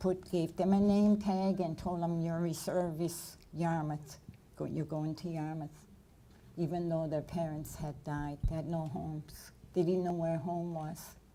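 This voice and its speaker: A woman speaks at a fairly slow pace in a fairly low, dark, mellow voice with monotone, flat intonation and audible room echo. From Nova Scotia, Canada. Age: 70s. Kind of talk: lecture Q&A.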